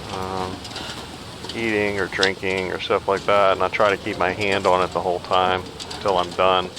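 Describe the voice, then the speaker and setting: Noticeable background noise behind a man's very deep, low voice, monotone and flat, at a moderate pace. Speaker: gaming streamer. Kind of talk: gameplay commentary. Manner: mumbling at times; louder than usual.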